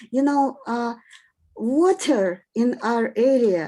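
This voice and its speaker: A woman's dark, mellow tone carries lively intonation. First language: Russian or Polish. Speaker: participant in online dialogue. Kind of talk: question from audience. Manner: halting.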